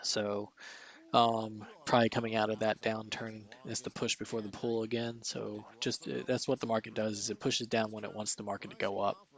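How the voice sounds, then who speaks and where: A man speaks quietly and fairly quickly, his fairly low voice monotone with flat intonation. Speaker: stock market streamer. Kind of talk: live market commentary.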